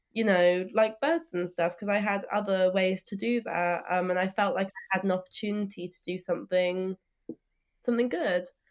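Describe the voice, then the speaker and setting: This woman talks at a moderate pace, her medium-pitched voice keeping a fairly even intonation. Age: young. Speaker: environmental campaigner. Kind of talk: interview. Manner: hesitant fillers.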